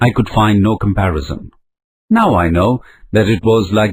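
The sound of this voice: The speaker uses an unforced reading voice with ordinary pitch variation over a quiet background.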